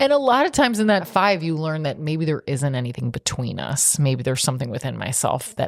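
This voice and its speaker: A woman speaking, very cleanly recorded against a silent background. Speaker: podcast host and therapist. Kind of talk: casual chat.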